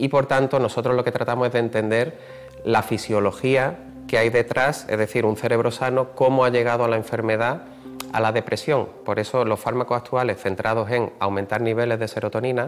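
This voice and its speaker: A man talks at a fairly quick pace with monotone, flat intonation and very even loudness. Faint music plays in the background. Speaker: professor. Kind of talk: interview answer. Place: hall. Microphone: lapel.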